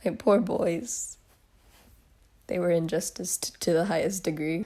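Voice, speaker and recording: Her tone dark and mellow, a woman speaks at a fairly slow pace with a fairly low pitch and ordinary pitch variation. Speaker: commentary youtuber. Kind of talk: reaction commentary. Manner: animated.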